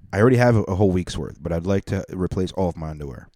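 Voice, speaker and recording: A man's very deep, low voice with a dark, mellow tone, very fast delivery, and a dry, close sound with no echo on a very clean recording with a silent background. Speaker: comedian and podcast host. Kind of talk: casual chat. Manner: loud.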